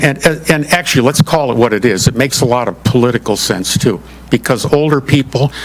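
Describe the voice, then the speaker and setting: Against noticeable background noise, a man at medium pitch talks at a fairly quick pace with ordinary pitch variation. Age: 70s. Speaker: retired manufacturing professional presenting to township commission. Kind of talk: public meeting presentation.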